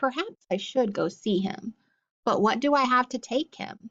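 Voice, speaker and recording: Putting on a gruff character voice, a woman speaks at a moderate pace with a high pitch. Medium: read story. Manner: gruff, curt.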